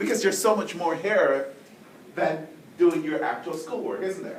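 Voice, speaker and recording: A man with a Jamaican accent talks at a moderate pace. Noticeable background noise and audible room echo are present. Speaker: professor. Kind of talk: speech to students.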